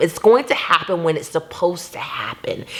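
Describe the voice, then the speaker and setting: Over noticeable background noise, a woman with an American accent speaks at a moderate pace, medium in pitch, with lively intonation. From Jacksonville, Florida, USA. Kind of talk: motivational faith talk to camera.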